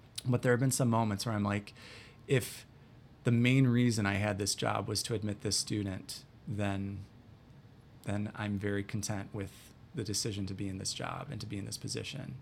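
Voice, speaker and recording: With an Upper Midwest accent, a man speaks in a fairly low voice. His intonation is fairly even, broken by long, frequent pauses. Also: moderate pace. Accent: Upper Midwest American. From US Midwest, north central Wisconsin. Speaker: college admissions director. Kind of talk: interview.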